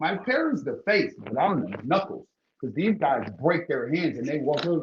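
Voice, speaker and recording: A man with a high pitch and an American accent speaks at a moderate pace, his pitch swinging very widely. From Ohio, Cleveland. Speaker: bare-knuckle fighter. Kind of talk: casual interview. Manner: animated.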